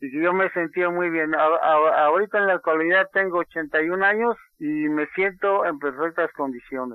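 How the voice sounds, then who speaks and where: A man's high-pitched voice at a fairly slow pace, with hardly any pauses. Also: ordinary pitch variation. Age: 80s+. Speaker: tailor and cancer survivor. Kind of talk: testimony. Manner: halting.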